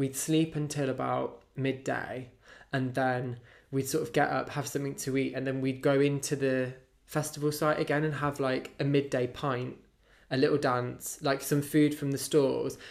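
The man's voice sits at a fairly high pitch, with a British accent. His delivery is monotone and flat, at a moderate pace. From UK. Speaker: podcast co-host. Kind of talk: casual chat.

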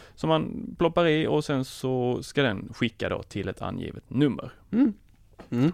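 Pitch swinging very widely around a fairly high level, a man speaks at a fairly slow pace. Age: 30s. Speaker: tech podcast guest. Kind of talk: casual chat.

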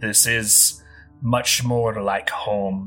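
Put-on character voice with fairly even intonation and faint music in the background. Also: man.

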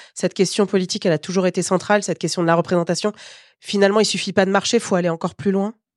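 A woman speaks at a very fast pace in a medium pitch, her intonation flat and monotone, with a dry, close sound free of echo against a quiet background. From Paris suburbs. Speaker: journalist and podcast host. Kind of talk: casual chat; scripted narration.

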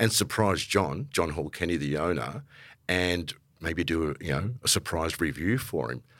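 The voice has vocal fry and comes with an Australian accent. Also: man. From Melbourne, Australia (Italian-born). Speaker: podcast host, music industry manager. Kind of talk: casual conversation interview. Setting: live recording before an audience.

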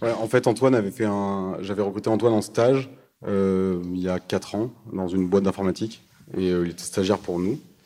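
The voice has a dark, mellow tone and fairly even intonation. It moves at a fairly quick pace. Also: man, fairly low pitch for a man. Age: 20s. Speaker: startup co-founder. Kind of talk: talk with audience. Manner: halting.

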